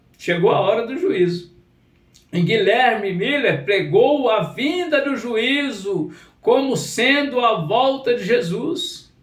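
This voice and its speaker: An extremely high-pitched man speaks at a very slow pace with very wide pitch swings. Audible room echo surrounds his voice. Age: 60s. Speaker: pastor. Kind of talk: sermon. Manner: repetitive, emphatic.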